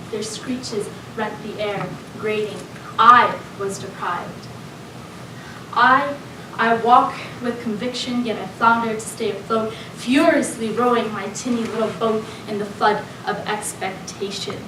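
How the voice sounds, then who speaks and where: At a fairly slow pace with long, frequent pauses, a woman speaks in a fairly high voice with fairly even intonation and big swings in loudness over noticeable background noise. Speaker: spoken word poet. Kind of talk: spoken word poetry performance. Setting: live event.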